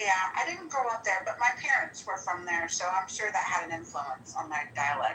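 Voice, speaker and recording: Here is a woman with a slight Midwestern accent. She talks at a moderate pace. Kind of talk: casual chat. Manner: halting.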